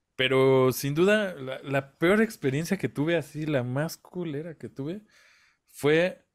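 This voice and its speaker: At a very slow pace, a man speaks with lively intonation against a quiet background. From Mexico. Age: 30s. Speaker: independent musician, podcast co-host; podcast co-host. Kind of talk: casual chat. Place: home room.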